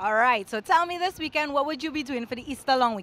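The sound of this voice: Fast and lively in intonation, a woman speaks with a high pitch and a fairly bright tone.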